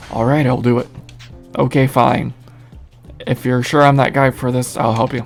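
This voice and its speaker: Music plays in the background as a man speaks at a moderate pace with long, frequent pauses. His medium pitch stays monotone and flat. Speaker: video game character.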